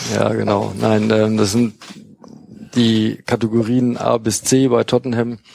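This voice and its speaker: A man talks at a fairly slow pace and a fairly low pitch, with long, frequent pauses. His intonation is monotone and flat, and his loudness very even. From Münster, Westphalia. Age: 40s. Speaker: football fanzine writer. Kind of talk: casual chat. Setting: studio.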